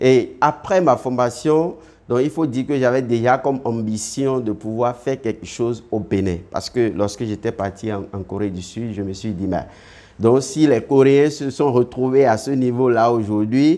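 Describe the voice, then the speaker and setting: A dark, mellow tone carries this speech along at a fairly slow pace. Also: man, medium pitch for a man, ordinary pitch variation. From Benin. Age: 30s. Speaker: web entrepreneur. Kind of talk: interview. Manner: halting.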